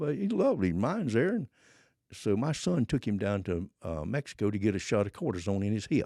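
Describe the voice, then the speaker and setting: With a Southern US accent, a man speaks at a fairly quick pace in a fairly low pitch with a dark, mellow tone and very wide pitch swings. The sound is dry and close with no echo against a quiet background. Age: 80s+. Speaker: former drug smuggler. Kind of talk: casual interview storytelling.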